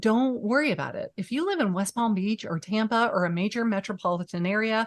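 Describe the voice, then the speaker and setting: A woman speaks at a fairly high pitch with an animated tone and ordinary pitch variation. Her pace is fairly quick over a quiet background. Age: 50s. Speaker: real estate agent and YouTube coach. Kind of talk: podcast interview.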